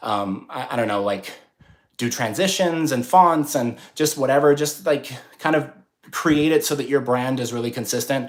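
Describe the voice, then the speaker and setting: This man has a Californian accent and a fairly high pitch. He speaks at a moderate pace. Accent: General American, Californian. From Southern California. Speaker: travel vlogger. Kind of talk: live stream Q&A. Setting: live stream. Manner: casual, many filler words.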